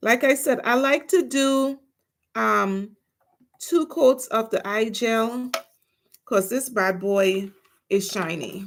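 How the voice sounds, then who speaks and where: A woman speaks at a very slow pace with long, frequent pauses. Her fairly high voice has lively intonation. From Trinidad and Tobago. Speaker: nail artist, livestreamer. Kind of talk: casual livestream chat.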